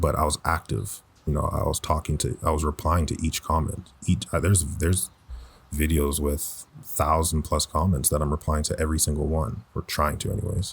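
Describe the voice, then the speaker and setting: A man speaks at a fairly quick pace in a very deep, low voice that is somewhat breathy, with fairly even intonation. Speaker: voice actor. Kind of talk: personal reflective talk. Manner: reflective, conversational.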